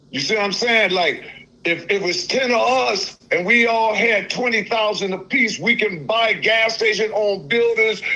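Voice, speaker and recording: Against noticeable background noise, a man with a high pitch uses a raised, projected voice, speaking at a fairly slow pace with ordinary pitch variation. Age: 60s. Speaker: caller. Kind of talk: call-in conversation. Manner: halting.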